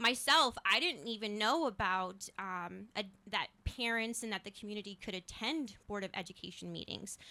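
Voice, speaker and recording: In an American accent, this bright, sharp voice with vocal fry runs on with hardly any pauses and ordinary pitch variation. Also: woman, medium pitch for a woman, moderate pace. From New Hampshire, with childhood in North Carolina. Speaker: school board candidate. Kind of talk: interview. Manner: many filler words and hesitations.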